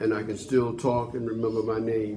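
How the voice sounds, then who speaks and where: A man's voice carries audible room echo. Background noise is noticeable. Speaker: former boxer, senior program participant. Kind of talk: testimony.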